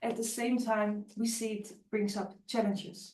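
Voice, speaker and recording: A woman with a fairly high pitch and a somewhat breathy voice speaks amid audible room echo. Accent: Dutch. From Netherlands. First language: Dutch. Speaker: webinar host, agile coach. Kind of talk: webinar presentation. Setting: online webinar. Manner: hesitant, many fillers.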